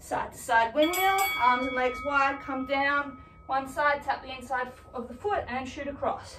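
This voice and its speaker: A woman speaks in a raised, projected voice at a fairly slow pace, with ordinary pitch variation, big swings in loudness and noticeable background noise. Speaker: fitness instructor. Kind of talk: workout instruction. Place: home room. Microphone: camera far.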